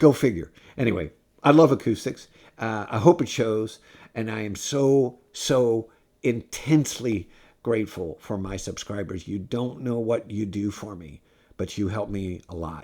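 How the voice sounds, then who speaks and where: A dark, mellow tone moves at a fairly slow pace with lively intonation and big swings in loudness. The recording is very clean, with a silent background. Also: man, fairly low pitch for a man. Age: 70s. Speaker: guitar review YouTuber. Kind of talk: casual video review talk. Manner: halting, many fillers.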